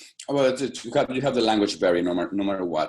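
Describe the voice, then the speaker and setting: With a Spanish accent, a man speaks using lively intonation. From Mexico, Guadalajara. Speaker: opera stage director. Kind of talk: interview. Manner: halting, many repetitions.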